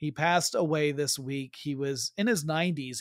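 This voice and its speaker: A man with a normal speaking voice, fairly high in pitch with ordinary variation, is heard on a very clean recording with a silent background and a dry, close sound with no echo. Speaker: podcast host. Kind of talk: casual chat. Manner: joking, conversational.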